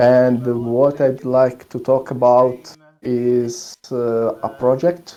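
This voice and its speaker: A man talks in a strong Italian accent. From Italy, Tuscany. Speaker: demoscene programmer. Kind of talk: technical presentation. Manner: halting.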